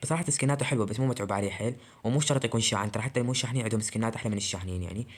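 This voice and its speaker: This is a man. His voice is quiet. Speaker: gaming YouTuber. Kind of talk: casual gameplay commentary. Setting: recording alone at night. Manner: quiet, subdued voice.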